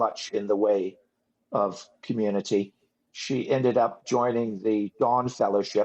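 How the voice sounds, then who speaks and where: A man talks in an unremarkable speaking voice at medium pitch. His pace is fairly slow and his intonation fairly even. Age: 60s. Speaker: ex-religious movement survivor. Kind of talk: interview testimony.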